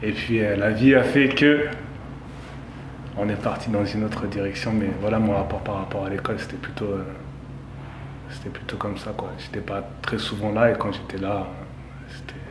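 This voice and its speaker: Against noticeable background noise and audible room echo, a man talks at a moderate pace in a fairly low pitch, with ordinary pitch variation and long, frequent pauses. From France, Saint-Denis (Paris suburbs). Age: 30s. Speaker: pastry chef. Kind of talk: interview. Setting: in a bakery under construction.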